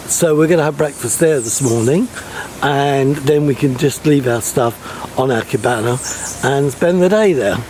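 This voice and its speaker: A man talks in a fairly high pitch with ordinary pitch variation at a moderate pace. Noticeable background noise is present. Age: 70s. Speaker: travel vlogger. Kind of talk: casual vlog narration.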